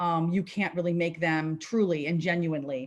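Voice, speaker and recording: A woman with a New Jersey accent speaks at a moderate pace. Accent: New Jersey American. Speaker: policy advocate. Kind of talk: presentation.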